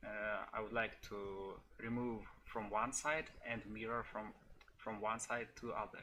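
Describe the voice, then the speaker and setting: Speaking very slowly in a monotone, flat delivery, a man with a non-native accent has a bright, sharp tone and medium pitch. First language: not English. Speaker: software developer. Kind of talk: tutorial. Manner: halting, many fillers.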